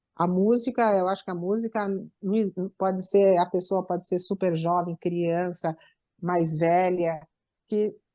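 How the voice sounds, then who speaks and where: A woman's dark, mellow tone with fairly even intonation and long, frequent pauses, in a dry, close sound with no echo and a quiet background. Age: 60s. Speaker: musician. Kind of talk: interview.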